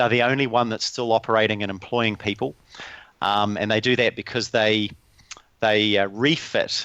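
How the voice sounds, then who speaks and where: A man with a New Zealand accent and fairly even intonation. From New Zealand, small town. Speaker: lean and learning consultant. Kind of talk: podcast interview.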